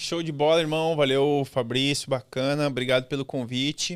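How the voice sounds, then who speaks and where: Fairly even intonation at a moderate pace, on a very clean recording with a silent background. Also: man. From Brazil, rural Rio Grande do Sul (Santa Cruz do Sul). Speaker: former military man. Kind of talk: interview.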